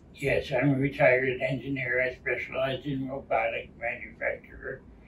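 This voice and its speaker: Noticeable background noise fills the recording. A man speaks through it at a moderate pace. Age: 70s. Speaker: retired engineer and patient. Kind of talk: interview.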